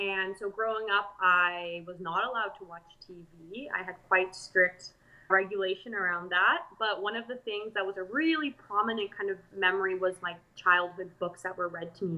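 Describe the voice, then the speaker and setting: A woman with a slight South African accent talks at a moderate pace, her medium pitch showing ordinary variation. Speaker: pottery artist. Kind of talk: interview. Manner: casual, many fillers.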